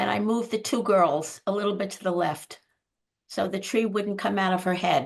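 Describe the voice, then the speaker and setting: A woman speaks at a moderate pace in a medium pitch, with ordinary pitch variation and some vocal fry. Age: 80s+. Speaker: camera club member. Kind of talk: casual chat.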